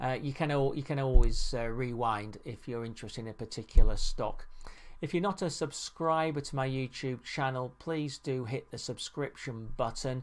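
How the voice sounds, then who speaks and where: The speaker has a plain, everyday voice with ordinary pitch variation at a moderate pace. Loudness rises and falls sharply. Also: man, medium pitch for a man. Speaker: market analyst. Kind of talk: technical chart analysis tutorial. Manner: many fillers.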